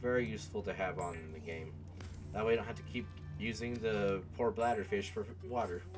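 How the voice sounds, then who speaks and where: A man with a very deep, low pitch and ordinary pitch variation talks at a fairly quick pace, with audible room echo and music in the background. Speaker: gaming video creator. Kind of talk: gameplay commentary. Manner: hesitant, filler words.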